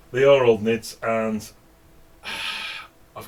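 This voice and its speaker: Noticeable background noise sits behind this man. He talks at a medium pitch with a slight northern English accent. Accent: slight northern English (Stockport). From northern England, Stockport. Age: 50s. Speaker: hobby painting streamer. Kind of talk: casual live stream chat. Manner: hesitant, many fillers.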